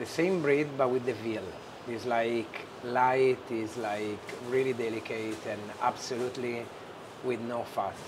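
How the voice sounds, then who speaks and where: A man speaks at a fairly slow pace with fairly even intonation. Audible room echo and noticeable background noise surround him. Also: medium pitch for a man. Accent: strong Italian. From Genoa, Italy. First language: Italian. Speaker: chef and restaurant owner. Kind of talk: cooking demonstration.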